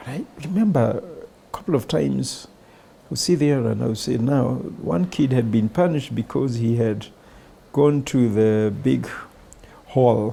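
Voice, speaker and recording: Lively intonation marks this man's speech with a Kenyan accent. He leaves long, frequent pauses. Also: medium pitch for a man. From rural Kenya. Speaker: bank CEO. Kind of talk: interview answer.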